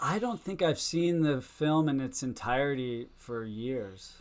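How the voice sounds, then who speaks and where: With an American accent, a man has a plain, everyday voice at a medium pitch, his intonation lively. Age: 50s. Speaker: surfer and filmmaker. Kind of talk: casual chat.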